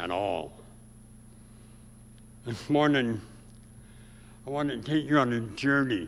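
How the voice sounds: Speaking slowly with an American accent, a man has a medium pitch, a fairly bright tone, a nasal quality and vocal fry.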